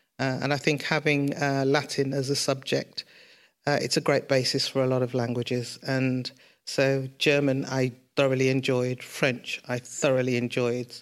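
In a Birmingham accent, a woman speaks with a very deep, low pitch. Her intonation is monotone and flat at a moderate pace. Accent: Birmingham (Brummie) English. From Birmingham, England (King's Heath). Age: 60s. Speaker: a cappella singer and group founder. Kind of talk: interview before live audience. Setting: studio with live audience.

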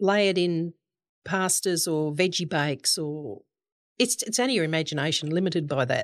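An Australian-accented woman at a fairly low pitch and moderate pace, with lively intonation, on a very clean recording with a silent background. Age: 60s. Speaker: goat farmer and cheesemaker. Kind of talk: casual interview.

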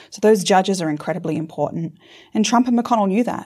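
An Australian accent at a very fast pace, dark and mellow in tone, on a very clean recording with a silent background. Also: woman. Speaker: law professor. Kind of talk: interview discussion.

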